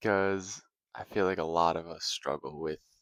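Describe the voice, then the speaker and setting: A soft-spoken man talks at a fairly slow pace in a monotone, flat intonation, with a dry, close sound with no echo. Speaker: video creator. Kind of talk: casual philosophy vlog. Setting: at home.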